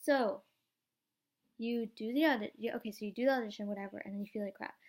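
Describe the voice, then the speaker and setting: A woman's very fast, animated delivery, fairly high in pitch with ordinary pitch variation. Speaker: vlogger and young actor. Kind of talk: casual vlog.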